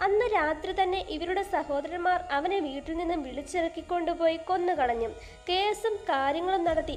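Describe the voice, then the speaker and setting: Over music in the background, a woman speaks at an extremely high pitch with lively intonation. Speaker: voice-over narrator. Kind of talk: movie story explanation narration.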